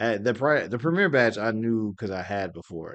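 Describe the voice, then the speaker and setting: Someone with an American accent speaks at a moderate pace. The background is quiet. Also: man. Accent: Southern US country accent, comes out briefly. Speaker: anime convention YouTuber. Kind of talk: casual Q&A commentary.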